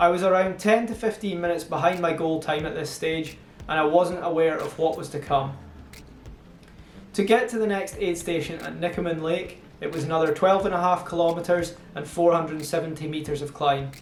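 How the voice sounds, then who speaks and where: With noticeable background noise and audible room echo, a man with a Scottish accent speaks at a fairly quick pace in a high pitch with fairly even intonation. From Scotland (Montrose, Angus). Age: 30s. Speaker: amateur trail runner, vlogger. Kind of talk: scripted narration.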